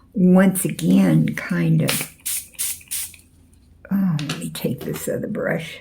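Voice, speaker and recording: A soft-spoken woman talks at a very slow pace with long, frequent pauses. Noticeable background noise runs underneath. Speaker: painting tutor. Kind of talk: tutorial. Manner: casual.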